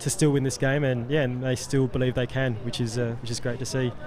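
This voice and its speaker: Over noticeable background noise, a man talks very fast in a medium-pitched voice with monotone, flat intonation. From South Australia. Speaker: sports commentator. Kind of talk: live commentary. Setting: commentary booth. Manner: halting, many fillers and repeats.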